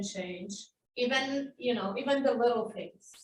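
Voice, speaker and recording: With a Polish accent and lively intonation, a woman speaks in a high voice. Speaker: language teacher. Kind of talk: panel discussion.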